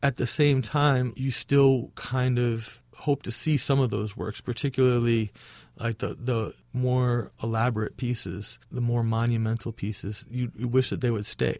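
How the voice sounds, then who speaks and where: In a very clean recording with a silent background, a man with an American accent uses a plain, everyday voice at medium pitch, a moderate pace and fairly even intonation. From Chicago, Hyde Park. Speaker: muralist and nonprofit founder. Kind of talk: interview.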